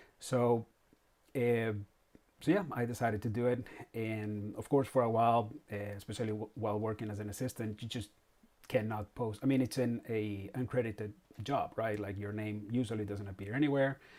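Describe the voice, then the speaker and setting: Speaking with a Spanish accent, a man keeps fairly even intonation at medium pitch and a fairly quick pace. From Spain. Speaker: comic artist. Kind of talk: live stream monologue. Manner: halting, many fillers.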